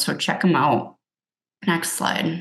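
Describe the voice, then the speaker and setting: With a Minnesotan accent, a woman speaks at a fairly slow pace. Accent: Minnesota. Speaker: addiction medicine clinician presenter. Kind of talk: webinar presentation. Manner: casual, with filler words.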